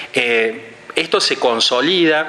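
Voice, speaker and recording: The man's voice shows ordinary pitch variation, with audible room echo and noticeable background noise. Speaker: academic lecturer. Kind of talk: conference lecture. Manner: fast; hesitant with fillers and repetitions.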